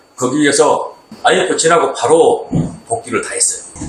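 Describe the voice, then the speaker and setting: A man is speaking here. Audible room echo and light background noise surround his voice. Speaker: golf venue owner and company CEO. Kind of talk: casual interview chat. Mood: calm, friendly. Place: office.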